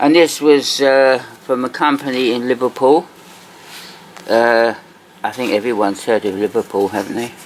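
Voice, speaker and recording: A man with an English accent, relaxed in tone, medium in pitch, with ordinary pitch variation, a moderate pace and long, frequent pauses. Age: 60s. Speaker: toy collector video host. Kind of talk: casual show-and-tell commentary. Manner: relaxed, hesitant with fillers.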